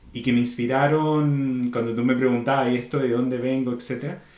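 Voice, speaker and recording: Audible room echo surrounds a man speaking in a Chilean accent. He talks at a moderate pace with a medium pitch. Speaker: organizational consultant. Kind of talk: podcast interview.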